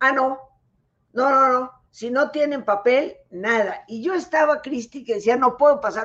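The speech unfolds at a fairly slow pace with ordinary pitch variation. The background is quiet. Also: woman, high pitch for a woman. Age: 70s. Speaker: clinical psychologist. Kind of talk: interview on a live stream. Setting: live online broadcast.

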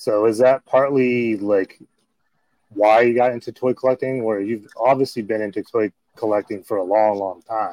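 A man's dark, mellow voice at a moderate pace, with fairly even intonation and a dry, close sound free of echo. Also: medium pitch for a man. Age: 40s. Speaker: podcast host. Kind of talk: casual chat.

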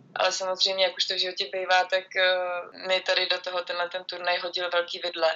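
Speaking at a fairly quick pace with hardly any pauses, the woman keeps a monotone, flat intonation at a medium pitch. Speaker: handball goalkeeper. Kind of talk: interview.

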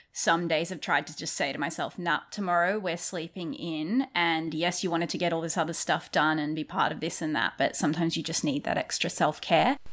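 Here is a woman with an ordinary speaking voice and fairly low pitch. She talks at a fairly quick pace with ordinary pitch variation. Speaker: podcast co-host. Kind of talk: casual chat.

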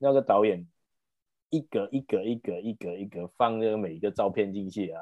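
A man with an unremarkable speaking voice uses lively intonation. His pace is moderate. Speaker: podcast host. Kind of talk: casual chat; plot summary narration.

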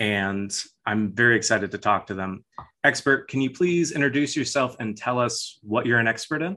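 This man has a normal speaking voice, medium in pitch, and talks at a moderate pace. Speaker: podcast host. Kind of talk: casual comedic interview. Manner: deadpan, playful.

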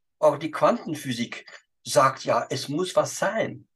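This is a man speaking with a French accent. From Belgium (Wallonia/Flanders). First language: French (speaking German). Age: 80s+. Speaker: spiritual healer and photographer. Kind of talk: interview, storytelling. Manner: halting, non-native German.

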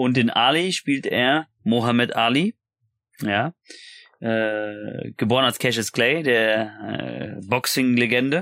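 Very slowly and at a medium pitch, a man speaks with very even loudness and ordinary pitch variation, in a dry, close sound with no echo. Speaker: podcaster and YouTuber. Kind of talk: casual chat. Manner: animated.

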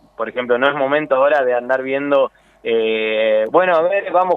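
A man at a moderate pace. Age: 30s. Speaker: politician and lawyer. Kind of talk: radio interview. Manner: halting.

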